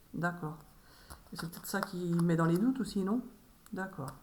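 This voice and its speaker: A woman speaks with a medium pitch. Her pace is fairly quick. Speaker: medium doing tarot card readings. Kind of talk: solo tarot reading video. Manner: halting, repeats words.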